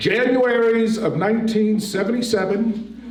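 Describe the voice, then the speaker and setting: The speaker is a man. Noticeable background noise and audible room echo are present. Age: 60s. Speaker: storyteller at community event. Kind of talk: personal storytelling.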